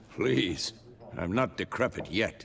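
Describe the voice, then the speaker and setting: Here is a man in a put-on character voice. It sounds raspy. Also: fairly low pitch for a man. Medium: video game. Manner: dry, laconic.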